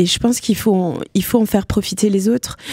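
Speaking at a fairly quick pace, a woman has a dark, mellow tone and ordinary pitch variation. The sound is dry with no echo, and the background is quiet. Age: 40s. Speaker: mental health speaker living with bipolar disorder. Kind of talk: radio interview. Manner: hesitant, many fillers. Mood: calm, reflective, personal. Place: studio. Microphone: studio mic.

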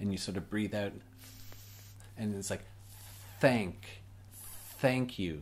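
The speaker is a man. His pitch is fairly low. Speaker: English teacher. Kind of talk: tutorial. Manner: slow, demonstrative. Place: home room.

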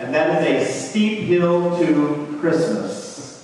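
A man's voice with strong room echo and light background noise. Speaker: preacher. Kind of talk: sermon. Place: church. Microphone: camera far.

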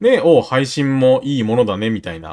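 A man's voice moves through very wide pitch swings. The recording is very clean and dry, close with no echo, and the background is silent. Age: 30s. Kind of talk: casual chat.

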